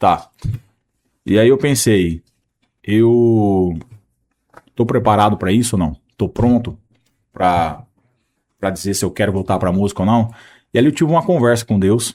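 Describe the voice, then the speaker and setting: A man with a fairly low pitch and a dark, mellow tone speaks with ordinary pitch variation. He leaves long, frequent pauses. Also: moderate pace. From Maringá, Paraná, Brazil. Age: 30s. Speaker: country singer. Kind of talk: interview answer.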